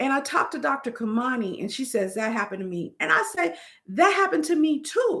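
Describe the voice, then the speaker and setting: A woman speaks loudly and at a fairly quick pace, high-pitched and animated, with very wide pitch swings. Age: 50s. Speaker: YouTuber. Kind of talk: live stream chat. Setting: live stream.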